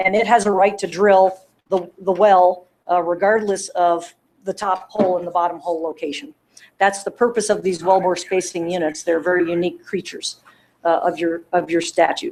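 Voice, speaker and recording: Her medium-pitched voice keeps a fairly even intonation as the woman speaks. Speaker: attorney. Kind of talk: closing argument at hearing. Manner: fast.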